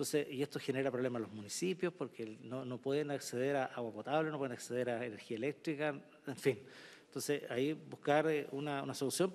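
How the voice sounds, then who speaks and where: A man's fairly high-pitched voice at a fairly quick pace with ordinary pitch variation. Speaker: senator. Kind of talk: committee hearing remarks. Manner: halting, with fillers.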